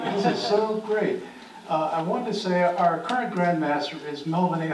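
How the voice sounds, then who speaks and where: Amid audible room echo and light background noise, a man talks at a moderate pace with ordinary pitch variation. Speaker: audience member. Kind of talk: Q&A comments. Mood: warm, appreciative. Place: meeting room.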